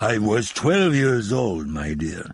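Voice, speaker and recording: A man puts on a hoarse character voice at a medium pitch. It swings very widely up and down in pitch. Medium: read story. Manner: theatrical, worldly.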